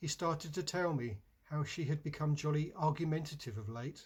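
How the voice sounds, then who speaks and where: At a moderate pace, a man with a fairly high pitch and a somewhat breathy voice speaks with ordinary pitch variation, recorded very cleanly against a silent background. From England. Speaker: poet. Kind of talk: poetry reading.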